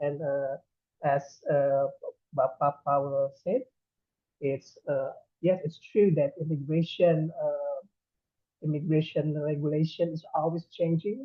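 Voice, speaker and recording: Speaking at a very slow pace with long, frequent pauses, a man with an Indonesian accent talks in a fairly high voice. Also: ordinary pitch variation. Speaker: immigration official. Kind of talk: presentation. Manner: halting.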